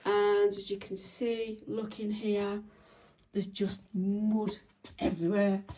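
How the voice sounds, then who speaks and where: At a very slow pace, a woman speaks at medium pitch with a monotone, flat intonation. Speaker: homeowner. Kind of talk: home tour video walkthrough. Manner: hesitant, many fillers.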